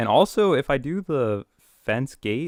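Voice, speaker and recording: A man is heard with a dry, close sound with no echo on a very clean recording with a silent background. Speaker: maker live streamer. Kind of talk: live stream tutorial. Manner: casual, hesitant.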